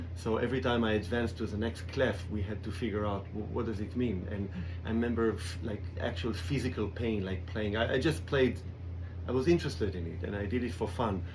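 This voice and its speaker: In a room with audible echo, a man talks at a fairly quick pace, fairly low-pitched and somewhat breathy. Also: ordinary pitch variation. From Israel, kibbutz. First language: Hebrew. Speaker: cellist. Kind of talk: radio interview. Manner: halting.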